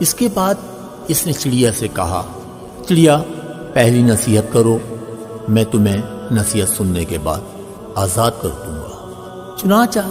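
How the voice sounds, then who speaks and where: Music plays in the background. A man talks with very wide pitch swings. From Pakistan. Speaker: voice over artist. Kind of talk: moral story narration.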